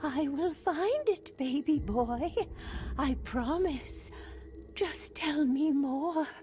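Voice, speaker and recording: A woman's put-on character voice, high-pitched and very slow, with lively intonation, very even loudness and clear background noise. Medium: video game. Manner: intense, fervent.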